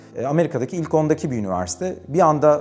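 Fairly quick male speech with music in the background. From Turkey, Bursa (Karacabey). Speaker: economics professor. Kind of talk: interview storytelling.

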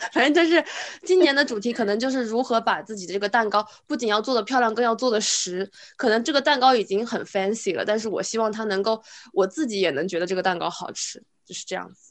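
The speaker talks at a very fast pace with lively intonation and big swings in loudness. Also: woman, fairly high pitch for a woman. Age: 20s. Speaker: podcast co-host. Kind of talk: casual chat.

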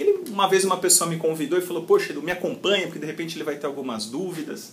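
A man's bright, sharp voice with lively intonation at a fairly quick pace. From Brazil, São Paulo city. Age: 30s. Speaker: call center company CEO. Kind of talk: interview. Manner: halting, many repetitions.

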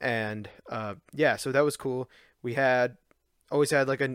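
Recorded very cleanly against a silent background, a plain, everyday voice talks at a moderate pace with fairly even intonation. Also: man. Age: 20s. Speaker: video game collecting podcaster. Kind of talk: solo podcast monologue. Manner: casual, with frequent fillers.

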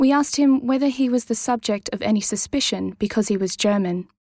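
The pace runs fairly quick. An Australian accent colors the speech. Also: woman. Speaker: podcast narrator and interviewer. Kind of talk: scripted narration.

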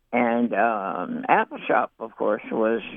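A man talks with an Appalachian accent. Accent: Appalachian American. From eastern Kentucky, Perry and Letcher County. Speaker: writer. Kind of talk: reminiscence. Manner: halting with many fillers.

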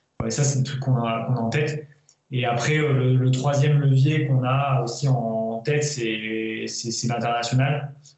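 A man at a medium pitch, speaking at a fairly slow pace with monotone, flat intonation, amid audible room echo. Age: 30s. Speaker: entrepreneur and former elite cyclist. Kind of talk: interview.

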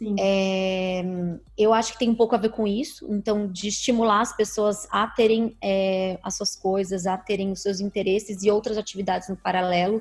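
A woman speaks in an ordinary speaking voice, her pitch medium. She keeps a moderate pace and fairly even intonation. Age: 30s. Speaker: media platform founder. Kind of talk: interview.

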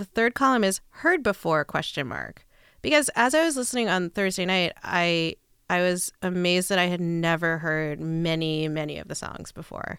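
In a plain, everyday voice, a woman with a fairly low pitch speaks at a moderate pace with lively intonation, on a very clean recording with a silent background. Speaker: podcast guest, music novice. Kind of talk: casual chat.

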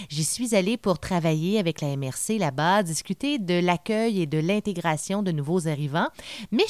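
A plain, everyday voice with lively intonation at a fairly slow pace, dry and close with no echo, on a very clean recording with a silent background. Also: woman. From Quebec, Témiscamingue. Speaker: podcast host. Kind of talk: podcast intro.

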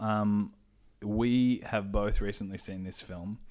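Heard in a very clean recording with a silent background, the speaker talks at a very slow pace with an Australian accent and fairly even intonation. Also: man. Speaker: podcast host. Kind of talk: casual interview.

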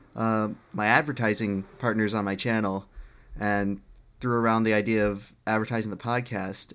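A man with an unremarkable speaking voice and medium pitch talks at a moderate pace. The recording is very clean, with a silent background. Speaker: podcast co-host and YouTuber. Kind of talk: casual banter podcast.

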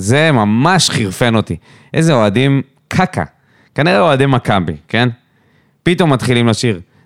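Recorded very cleanly against a silent background, a man at medium pitch uses very wide pitch swings. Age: 30s. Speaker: football podcast co-host. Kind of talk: casual chat.

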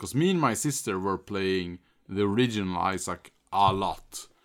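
A man speaks in a Swedish accent at a fairly low pitch and a fairly slow pace. His pitch varies in an ordinary way on a very clean recording with a silent background. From Sweden. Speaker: game streamer. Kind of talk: casual chat.

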